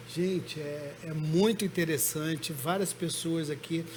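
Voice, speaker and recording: A man speaks at a fairly high pitch. It is an ordinary speaking voice. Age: 60s. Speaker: pastor. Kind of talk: testimony.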